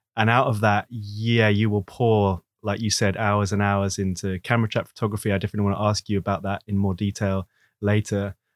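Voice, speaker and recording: A man with an English accent speaks at a fairly quick pace in a fairly low, flat monotone, recorded very cleanly against a silent background with a dry, close sound and no echo. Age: 40s. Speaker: nature photographer and podcast host. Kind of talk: casual interview.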